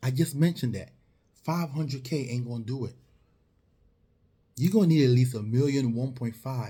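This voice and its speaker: This man has a medium pitch and a dark, mellow tone, sounds somewhat breathy, uses ordinary pitch variation, and talks at a fairly quick pace with long, frequent pauses. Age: 40s. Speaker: financial advisor selling insurance and retirement plans. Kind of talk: motivational talk to camera. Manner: animated.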